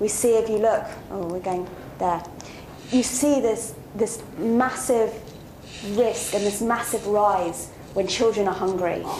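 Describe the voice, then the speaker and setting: A woman speaks at a fairly high pitch with ordinary variation, at a fairly slow pace with long, frequent pauses. Audible room echo and noticeable background noise surround her. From South Africa, Western Cape (Hermanus). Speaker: social worker and researcher. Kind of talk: Q&A talk. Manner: hesitant, many fillers and repetitions.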